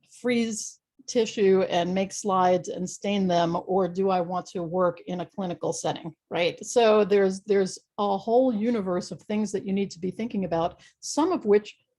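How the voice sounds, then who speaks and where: A woman talks with hardly any pauses in a somewhat breathy voice with a dark, mellow tone. Her pitch varies in an ordinary way over a quiet background. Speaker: university research office staff. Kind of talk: presentation.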